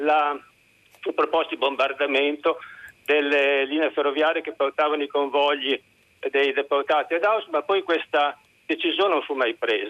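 A man talks at a fairly slow pace with long, frequent pauses. His pitch is fairly high and his intonation fairly even. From Reggio Emilia. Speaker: caller. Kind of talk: call-in opinion. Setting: phone call.

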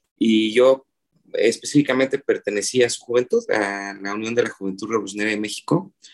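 A man with a plain, everyday voice speaks at a fairly quick pace and medium pitch, with ordinary pitch variation. His loudness swings widely, and the sound is dry and close with no echo. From Oaxaca City, Mexico. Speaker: filmmaker and cartoonist. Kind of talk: interview conversation.

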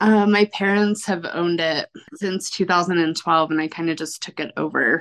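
A woman's fairly low voice at a fairly slow pace, an unremarkable speaking voice with ordinary pitch variation. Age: 30s. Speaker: coffee roaster and business owner. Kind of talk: interview.

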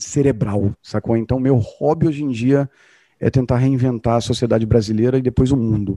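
A man speaks at medium pitch with fairly even intonation and a dark, mellow tone, the sound dry and close with no echo over a quiet background. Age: 40s. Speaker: entrepreneur. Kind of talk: podcast interview.

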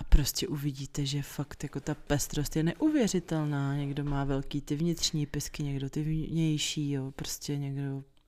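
A woman speaks in a very deep, low voice with a dark, mellow tone. Her pace is fairly slow. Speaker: podcast host. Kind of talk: casual chat. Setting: at home.

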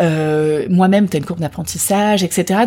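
A woman with a dark, mellow, somewhat breathy tone speaks with ordinary pitch variation on a very clean recording with a silent background. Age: 40s. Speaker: beauty brand founder. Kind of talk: interview.

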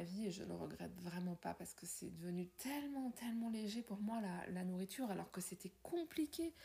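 A somewhat breathy woman's voice at medium pitch, moderate in pace, with lively intonation. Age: 50s. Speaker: podcaster and wellbeing coach. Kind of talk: personal monologue.

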